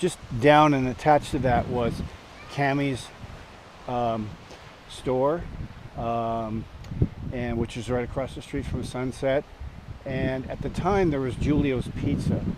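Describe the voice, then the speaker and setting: A man at a medium pitch, fairly slow with long, frequent pauses, his intonation fairly even amid noticeable background noise. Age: 60s. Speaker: storyteller. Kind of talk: casual storytelling monologue. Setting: outdoors at a campsite. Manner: halting, many fillers.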